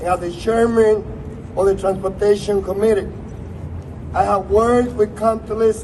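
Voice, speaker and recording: Over noticeable background noise, a man with a high pitch speaks with fairly even intonation. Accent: strong Spanish. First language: Spanish. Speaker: politician. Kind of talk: prepared speech.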